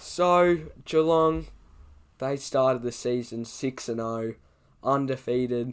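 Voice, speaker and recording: A man talks in an Australian accent. He goes very slowly, with long, frequent pauses. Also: medium pitch for a man, ordinary pitch variation. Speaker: sports YouTuber. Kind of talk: casual commentary vlog.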